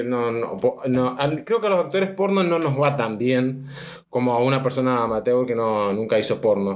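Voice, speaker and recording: Fairly slow speech from a man with a plain, everyday voice, medium pitch and ordinary pitch variation. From Argentina, Mendoza. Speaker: adult film actor. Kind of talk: interview answers.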